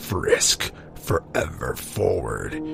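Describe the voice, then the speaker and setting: A man's dramatic tone at a very slow pace, with music in the background. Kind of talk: comedic creepypasta reading with commentary. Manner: mock-dramatic storyteller.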